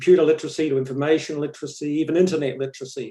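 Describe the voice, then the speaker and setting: With a New Zealand accent and a dark, mellow tone, a man speaks at a very fast pace. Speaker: education professor. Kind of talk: interview.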